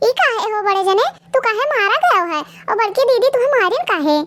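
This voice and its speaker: A woman performs a cartoonish character voice at an extremely high pitch. She keeps a moderate pace with very wide pitch swings. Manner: loud, scolding.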